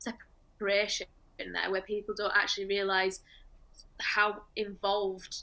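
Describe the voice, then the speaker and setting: At a moderate pace, a woman with a medium pitch speaks in a bright, sharp tone with monotone, flat intonation. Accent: northern English. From northern England. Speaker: dog trainer. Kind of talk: presentation.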